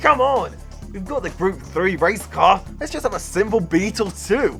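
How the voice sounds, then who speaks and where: A man speaks with music in the background. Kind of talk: casual talk to camera. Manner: fast, stammering.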